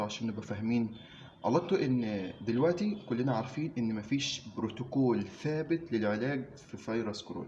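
Over light background noise, a somewhat breathy man speaks with very wide pitch swings. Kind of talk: informative talk to camera. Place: office. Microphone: phone near.

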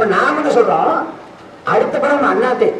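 A man talks with an extremely high pitch. Audible room echo and light background noise are present. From Tamil Nadu, India. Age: 20s. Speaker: political activist; speaker. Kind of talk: protest rally speech. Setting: outdoor protest rally. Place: street.

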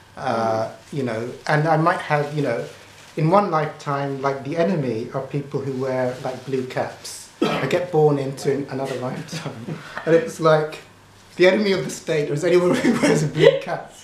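Noticeable noise fills the background. Through it, a man speaks at a moderate pace. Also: ordinary pitch variation. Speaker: spiritual teacher. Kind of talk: casual teaching monologue. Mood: amused, laughing often. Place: home room. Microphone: camera far.

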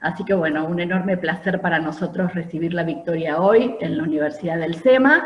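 A woman speaks at a fairly quick pace with hardly any pauses, her fairly low pitch moving with ordinary variation amid audible room echo. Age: 50s. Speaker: university program director; event host, moderator. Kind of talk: webinar moderation. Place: home room. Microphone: video call.

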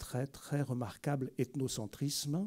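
In a quiet background, a man speaks with a fairly high pitch and a dark, mellow tone. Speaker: anthropologist and prehistorian giving a lecture; prehistorian giving a lecture. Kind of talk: public lecture. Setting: library lecture hall with audience. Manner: lively. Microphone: podium.

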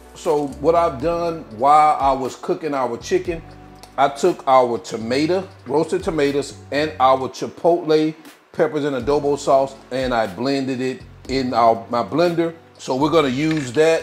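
Over faint music in the background, a man talks at a fairly slow pace with ordinary pitch variation. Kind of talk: cooking tutorial. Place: kitchen.

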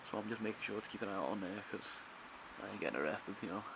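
With noticeable background noise in the mix, a man rattles along at a very fast pace. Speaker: urban explorer vlogger. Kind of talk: casual vlog chat. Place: empty room. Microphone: phone near.

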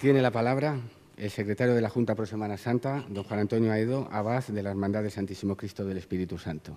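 A man's very fast delivery, with a fairly low pitch, ordinary pitch variation and a dark, mellow tone. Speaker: master of ceremonies, Holy Week board official. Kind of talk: formal ceremonial address. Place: hall. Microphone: podium.

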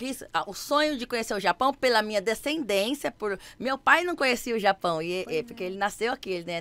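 Animated in tone, a woman talks at a fairly quick pace with hardly any pauses, her fairly high voice showing lively intonation. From Campinas, interior of São Paulo; São Paulo state, Brazil. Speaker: dancer and TV stage assistant; podcast guest. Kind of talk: casual chat. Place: studio. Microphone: studio mic.

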